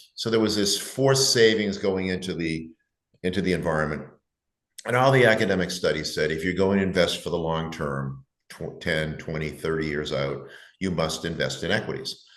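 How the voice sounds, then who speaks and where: A man with a very deep, low pitch speaks at a fairly quick pace with lively intonation. Room echo is audible around his voice. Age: 70s. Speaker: investment advisor. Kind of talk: interview. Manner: halting.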